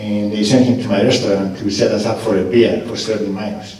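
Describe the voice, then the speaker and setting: There is audible room echo around a man's voice. He talks at a fairly quick pace. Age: 60s. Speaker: mayoral candidate, restaurant owner. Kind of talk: political forum answer. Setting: stage with audience, live radio broadcast.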